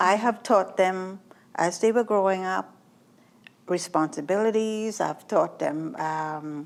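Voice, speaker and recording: A woman speaks at a medium pitch and a very slow pace on a very clean recording with a silent background. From Trinidad. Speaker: author and self-taught artist. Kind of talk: interview answer.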